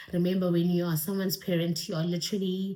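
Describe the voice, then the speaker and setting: Fairly low pitch from a woman, somewhat breathy. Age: 20s. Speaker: YouTuber. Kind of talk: Q&A vlog. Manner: casual, hesitant with fillers.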